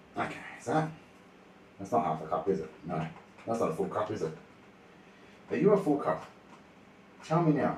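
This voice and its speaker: A man's fairly low voice with very wide pitch swings and long, frequent pauses, in audible room echo. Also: fairly quick pace. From Australia. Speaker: streamer. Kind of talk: casual livestream cooking chat. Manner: quiet when focused.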